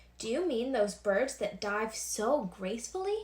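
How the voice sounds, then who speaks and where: A woman performs a loud, put-on character voice at a fairly high pitch. Her pace is moderate. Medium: read story. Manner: loud, hearty.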